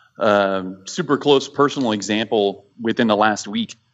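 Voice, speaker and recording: Fairly even intonation in a plain, everyday voice. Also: man. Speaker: war veteran. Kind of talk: casual chat.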